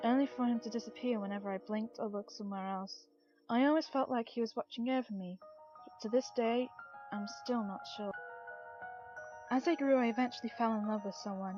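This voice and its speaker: A woman at a fairly high pitch and fairly quick pace, with ordinary pitch variation and music in the background. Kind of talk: creepypasta story reading.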